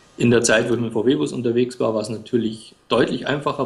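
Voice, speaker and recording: Speaking at a fairly quick pace, a man with medium pitch shows vocal fry. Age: 40s. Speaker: blogger and freelance writer. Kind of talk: interview.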